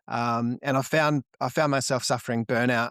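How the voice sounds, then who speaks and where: The sound is dry and close with no echo, in a very clean recording with a silent background. A man with an Australian accent speaks at a medium pitch with fairly even intonation. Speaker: marketing business owner. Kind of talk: podcast interview. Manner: halting, many fillers and repeated words.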